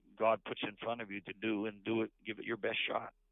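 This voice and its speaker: A man speaks with a Canadian accent. His fairly low voice stays monotone and flat. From New Brunswick, eastern Canada. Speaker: pastor. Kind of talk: interview testimony.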